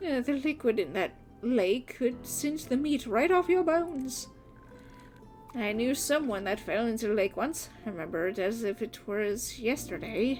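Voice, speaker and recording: Clear music plays in the background as a woman uses a put-on character voice. Her pitch is fairly high, and her pace is moderate. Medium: game stream. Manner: polite, old-fashioned, gentle.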